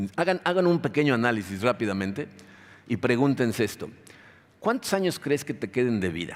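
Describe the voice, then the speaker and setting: A man speaks with very wide pitch swings. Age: 60s. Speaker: pastor. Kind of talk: sermon.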